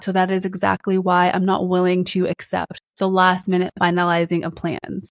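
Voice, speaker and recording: At a moderate pace and with hardly any pauses, the voice runs in a flat monotone, its sound dry and close with no echo. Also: woman, medium pitch for a woman. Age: 30s. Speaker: podcast host. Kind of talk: solo advice talk.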